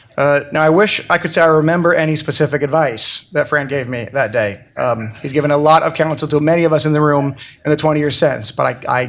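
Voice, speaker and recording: A man with an American accent and a plain, everyday voice, fairly high in pitch and fairly quick in pace. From Colorado, US. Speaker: event host introducing the author. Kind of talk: introductory speech.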